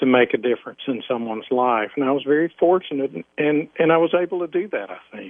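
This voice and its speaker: In a Southern US accent, a man talks at a very fast pace with lively intonation. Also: fairly high pitch for a man. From US South, Alabama. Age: 50s. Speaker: former police officer. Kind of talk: interview testimony.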